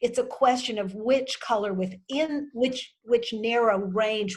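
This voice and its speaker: With ordinary pitch variation and a somewhat breathy sound, the woman talks at a moderate pace. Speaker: wardrobe consultant. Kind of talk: virtual workshop Q&A.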